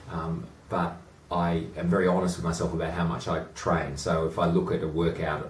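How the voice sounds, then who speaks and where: Speaking at a moderate pace, a man with an Australian accent has a very deep, low pitch and a flat monotone in a room with audible echo. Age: 40s. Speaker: amateur rower and boat club chairman. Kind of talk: interview.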